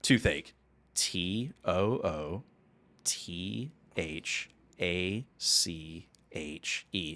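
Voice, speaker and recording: In a put-on character voice, a man speaks at a very slow pace with a very deep, low pitch and long, frequent pauses. The recording is very clean, with a silent background. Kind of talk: formal, deliberate. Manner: monotone, flat, unexcited.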